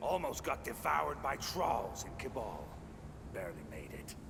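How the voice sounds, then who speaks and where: A man's put-on character voice at a moderate pace, with loud background noise. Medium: video game.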